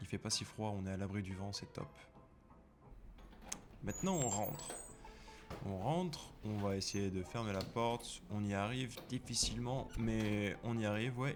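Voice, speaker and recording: Speaking fairly slowly with long, frequent pauses, a man with a fairly low pitch and ordinary pitch variation is heard over background music. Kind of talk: vlog voice-over narration. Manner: casual, joking.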